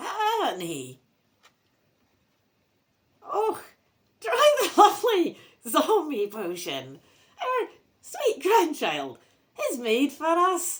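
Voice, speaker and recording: A put-on character voice with a Scottish accent speaks at an extremely high pitch. It moves at a very slow pace with long, frequent pauses. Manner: pleasant, eerie.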